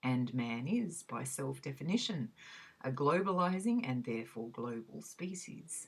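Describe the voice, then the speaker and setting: A woman with an Australian accent speaks fairly slowly at a very deep, low pitch, her intonation lively. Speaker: reader. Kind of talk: academic essay reading.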